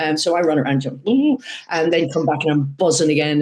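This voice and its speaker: At a moderate pace, a woman with an Irish accent speaks in a very deep, low pitch. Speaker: horse racing commentator and former jockey. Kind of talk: interview. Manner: animated.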